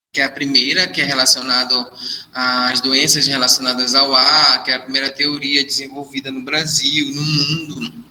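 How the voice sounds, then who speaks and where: The voice belongs to a man and sits fairly high in pitch. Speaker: nursing instructor. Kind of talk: lecture.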